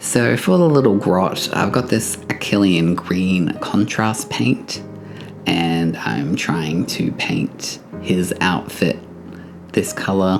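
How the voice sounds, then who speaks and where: With an Australian accent, a man talks at a very slow pace in a very deep, low voice with lively intonation. His loudness stays very even, and music plays in the background. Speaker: miniature painting hobbyist, beginner. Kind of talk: tutorial voiceover. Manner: casual, with fillers.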